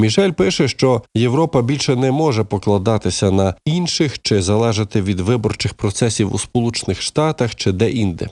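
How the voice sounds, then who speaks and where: This man has an unremarkable speaking voice at a medium pitch, with lively intonation and very even loudness. He keeps a moderate pace with hardly any pauses, and the sound is dry and close with no echo. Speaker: news presenter. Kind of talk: news reading.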